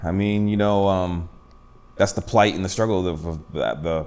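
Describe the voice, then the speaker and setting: This is a man with a fairly low pitch. Audible room echo surrounds his voice. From Boston, Massachusetts (Dorchester, then Randolph suburbs). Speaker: hip hop artist. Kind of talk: casual interview. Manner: casual, halting with many fillers.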